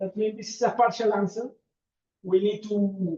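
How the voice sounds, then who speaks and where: A man with a dark, mellow tone speaks at a high pitch. His pace is moderate and his intonation fairly even. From Peru. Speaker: mathematician. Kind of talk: lecture. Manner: halting.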